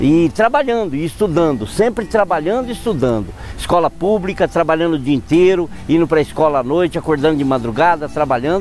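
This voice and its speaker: A man's fairly quick, high-pitched speech with very wide pitch swings and very even loudness, over noticeable background noise. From southern Minas Gerais, Brazil (rural interior), then São Paulo from age 13. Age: 50s. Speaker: politician, former mayor and shop owner. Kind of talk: autobiographical testimony.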